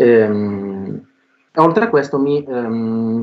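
The man's pitch is medium, and it varies in an ordinary way. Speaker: philosophy professor. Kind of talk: lecture. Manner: halting.

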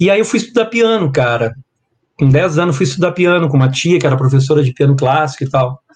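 Somewhat breathy, the voice races at a very fast pace with lively intonation and very even loudness. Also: man, fairly high pitch for a man. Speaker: guitarist. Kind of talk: casual interview chat. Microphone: laptop mic about two hand-spans away.

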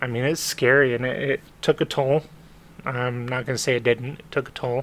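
Using an ordinary speaking voice, a man talks at a moderate pace with fairly even intonation. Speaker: podcast co-host. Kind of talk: casual chat.

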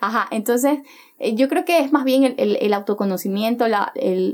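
Noticeable background noise beneath a fairly quick stream of speech. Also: woman. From Ecuador, Chone, Manabí. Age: young. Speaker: activist. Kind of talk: casual interview.

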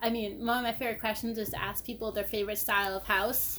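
A woman's fairly high voice, very fast and flat, in a monotone. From New Jersey. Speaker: guest, history and architecture blogger. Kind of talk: casual chat.

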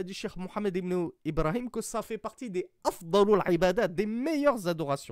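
Very wide pitch swings run through this moderate-paced voice, recorded with a dry, close sound and no echo. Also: man. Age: 40s. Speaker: Islamic religious teacher. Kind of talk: lecture.

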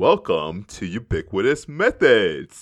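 A booming, put-on character voice from a man, medium in pitch and fairly slow in pace. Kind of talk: announcer, grand.

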